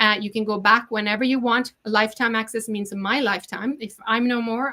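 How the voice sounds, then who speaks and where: With a Norwegian accent, a woman talks at a fairly quick pace in a fairly high pitch, her bright, sharp tone carried by fairly even intonation. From Norway. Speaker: chef and online cooking teacher. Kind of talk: sales pitch. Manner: casual with frequent fillers.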